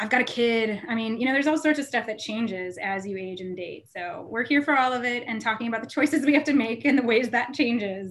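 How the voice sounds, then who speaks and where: The speech comes at a very fast pace with hardly any pauses. Loudness swings widely, pitch varies in an ordinary way, and there is noticeable background noise. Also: woman, fairly high pitch for a woman. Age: 40s. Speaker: podcast co-host, sex educator. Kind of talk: casual chat.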